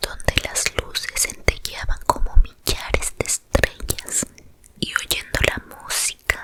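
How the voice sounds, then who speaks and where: At a very slow pace, a woman whispers while noticeable background noise continues around her. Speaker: ASMR storyteller. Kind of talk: sleep story. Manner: whispered.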